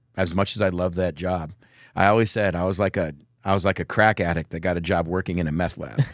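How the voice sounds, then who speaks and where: With an American accent, a man speaks at a very fast pace in a very deep, low pitch, his intonation fairly even, on a very clean recording with a silent background. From Texas. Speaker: megachurch pastor. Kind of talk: casual interview chat.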